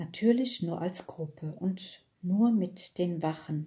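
Speaking very slowly, a woman has a medium-pitched, dark, mellow, somewhat breathy voice with ordinary pitch variation. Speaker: audiobook reader. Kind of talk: children's audiobook reading.

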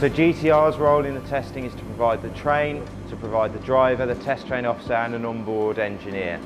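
Clear music plays in the background as a man talks with hardly any pauses and ordinary pitch variation. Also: fairly quick pace. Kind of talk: interview answer. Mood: calm, explanatory. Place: station.

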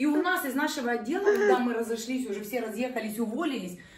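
A woman's high voice at a fairly quick pace, with audible room echo. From Ukraine, Chernihiv region. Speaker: decorator, artificial flower maker. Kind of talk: casual chat. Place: home room.

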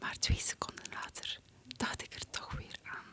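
A woman whispers her words at a very slow pace. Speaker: poetry reciter. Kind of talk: poetry reading. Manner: whispered, ASMR style. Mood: calm, playful, smiling. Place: home room. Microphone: studio mic.

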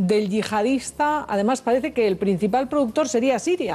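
The speaker is a woman. Her voice rises and falls in a normal way. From Spain. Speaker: TV talk show host. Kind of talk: TV news panel discussion. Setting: TV studio. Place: studio. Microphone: headset.

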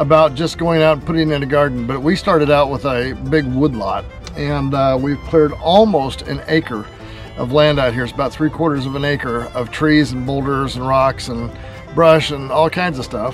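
Over clear background music, a man talks at a moderate pace with ordinary pitch variation in a dry sound with no echo. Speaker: homesteading vlogger. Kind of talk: casual vlog chat. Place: garden. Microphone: phone near.

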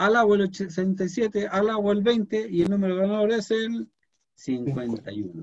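Lively intonation marks this man's high-pitched voice. The background stays quiet. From Chile. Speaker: programming teacher. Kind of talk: lecture. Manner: halting. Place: home room. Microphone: webcam.

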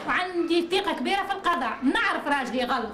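Noticeable background noise sits behind a woman speaking with a Tunisian accent. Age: 40s. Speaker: mother of four pleading for help. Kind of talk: testimony. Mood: aggrieved, indignant. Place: home room. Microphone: camera far.

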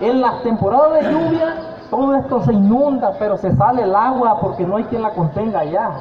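A man with a high voice speaks at a moderate pace and with lively intonation, with light background noise and audible room echo. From Nayarit, Mexico. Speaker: shrimp cooperative fisherman presenting a project; presenter. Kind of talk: community meeting presentation. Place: street. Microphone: handheld.

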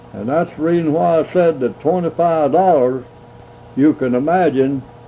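Speech with a Southern US accent at a moderate pace, ordinary pitch variation and long, frequent pauses, over noticeable background noise. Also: man. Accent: rural Southern American. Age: 80s+. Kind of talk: interview answer.

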